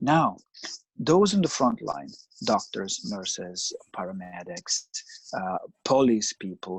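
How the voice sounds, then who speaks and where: A man with an Italian accent speaks at a very slow pace, his pitch swinging very widely. The background is quiet. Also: dry, close sound with no echo. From Italy, Milan. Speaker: psychoanalyst. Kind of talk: interview.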